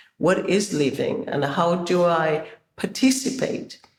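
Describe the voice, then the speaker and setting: A woman is speaking. Room echo can be heard. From Zimbabwe. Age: 60s. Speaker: choreographer and performer. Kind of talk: interview. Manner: halting, many fillers.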